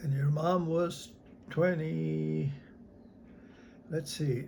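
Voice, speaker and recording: Somewhat breathy delivery at a very slow pace with ordinary pitch variation. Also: man. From North Dakota. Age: 80s+. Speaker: army veteran. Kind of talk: interview answer.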